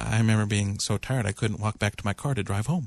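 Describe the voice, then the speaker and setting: A man with an unremarkable speaking voice talks at a fairly quick pace and a fairly low pitch, with ordinary pitch variation. The sound is dry and close with no echo, over a quiet background. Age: 40s. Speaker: psychiatrist and internist, regular radio co-host. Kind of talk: call-in radio discussion. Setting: radio studio.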